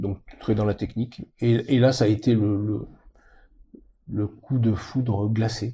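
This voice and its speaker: At a very slow pace with long, frequent pauses, a man speaks at a medium pitch with fairly even intonation. His voice is somewhat breathy, with a dark, mellow tone. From Mediterranean France. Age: 70s. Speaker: polar expedition sailor. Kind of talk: interview. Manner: halting.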